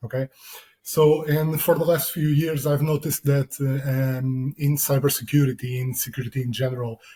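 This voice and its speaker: Somewhat breathy, this man's voice has a dark, mellow tone, medium pitch and a non-native accent. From Portugal. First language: Portuguese. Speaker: security consultant. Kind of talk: interview. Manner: hesitant.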